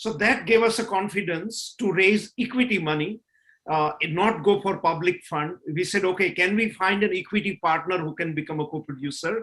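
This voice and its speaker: This man has a Gujarati accent and a high pitch with a bright, sharp tone. He speaks at a moderate pace with ordinary pitch variation. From India, Gujarat (Kathiawad). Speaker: film director and producer. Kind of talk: panel discussion. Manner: frequent fillers (uh, you know).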